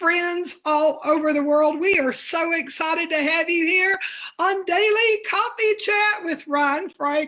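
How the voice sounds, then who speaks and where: At a very slow pace, a woman speaks in a raised, projected voice at an extremely high pitch, with ordinary pitch variation. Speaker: guest talk show host. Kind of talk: casual interview chat. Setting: live video stream.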